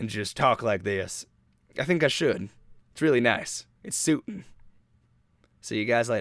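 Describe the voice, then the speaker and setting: A man's put-on character voice in a Southern accent, raspy and medium-pitched, relaxed and playful in tone, with lively intonation, a moderate pace and long, frequent pauses. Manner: relaxed, playful.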